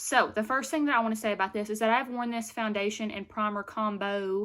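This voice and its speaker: Delivered at a moderate pace in a Southern US accent, this voice is captured in a very clean recording with a silent background. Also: woman. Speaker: beauty vlogger. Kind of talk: product review vlog. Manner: animated.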